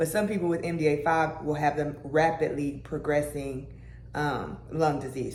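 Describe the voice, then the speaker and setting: The speaker is a woman with a very deep, low pitch. She talks at a moderate pace amid audible room echo. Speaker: lifestyle and health vlogger. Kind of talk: casual vlog talk. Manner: casual, with many fillers.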